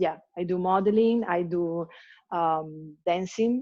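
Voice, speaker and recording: This woman's voice sits fairly low and has a dark, mellow tone. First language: Italian. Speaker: hip hop dancer. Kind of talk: interview. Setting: video call. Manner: halting.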